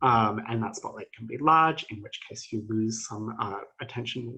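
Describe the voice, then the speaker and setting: At a moderate pace, a man speaks with lively intonation at a medium pitch. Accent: Australian. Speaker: PhD student presenter. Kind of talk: academic presentation.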